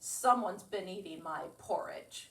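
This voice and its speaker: A woman's growling, put-on character voice at a medium pitch and moderate pace. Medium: read story.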